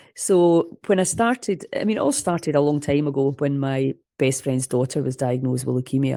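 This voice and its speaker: A woman with a Scottish accent speaks at a moderate pace in a very deep, low voice with a dark, mellow tone and ordinary pitch variation, the sound dry and close with no echo. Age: 60s. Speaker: holistic health coach. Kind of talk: interview. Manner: animated.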